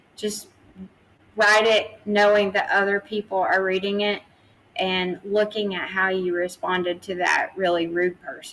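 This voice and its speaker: A woman speaks with a slight Tennessee accent, her pitch in the medium range. Her intonation is flat and monotone, delivered at a moderate pace. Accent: slight Southern US (Tennessee) twang. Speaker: PR agency founder. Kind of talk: interview.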